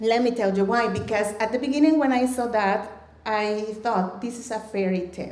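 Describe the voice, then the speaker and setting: With a Mexican accent, a woman at a fairly high pitch speaks at a moderate pace with ordinary pitch variation, and audible room echo surrounds her. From Mexico. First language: Spanish. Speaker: storyteller, ESL educator. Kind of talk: live storytelling. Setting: stage with audience.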